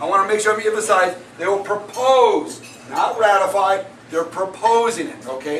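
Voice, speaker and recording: Animated in tone, a man with a high pitch and ordinary pitch variation is heard with audible room echo and noticeable background noise. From Hawaii. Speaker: political activist speaker. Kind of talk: public talk. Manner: fast.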